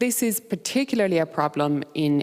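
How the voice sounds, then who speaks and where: A woman speaks with a fairly low pitch and very wide pitch swings. Background noise is noticeable. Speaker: conference speaker. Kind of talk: conference presentation. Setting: stage with audience. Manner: fast; animated.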